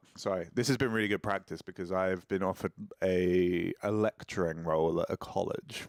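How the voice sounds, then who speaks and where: A man's normal speaking voice at a fairly slow pace with fairly even intonation, dry and close with no echo, on a very clean recording over a silent background. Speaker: singer-songwriter. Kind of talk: casual chat. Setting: live stream.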